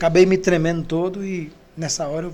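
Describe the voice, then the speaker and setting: A man talks at a high pitch. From Brazil, Ceará (Maracanaú). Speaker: pastor. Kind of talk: testimony.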